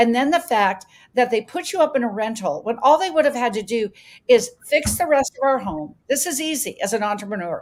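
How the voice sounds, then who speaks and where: A woman speaks at a fairly quick pace and high pitch in an animated tone, with very wide pitch swings. The recording is very clean, with a silent background. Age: 60s. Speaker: health coach, homeowner affected by insurance crisis. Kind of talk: testimony at a town hall. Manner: halting, with repetitions.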